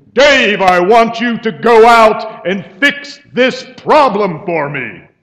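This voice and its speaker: At a very slow pace, a man adopts a put-on character voice pitched high. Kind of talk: commanding.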